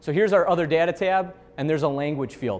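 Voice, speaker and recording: A man with a fairly high pitch and a Chicago accent, fairly quick pace, and lively intonation. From Chicago, US Midwest. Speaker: software trainer. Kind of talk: software training seminar. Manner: casual, conversational with fillers.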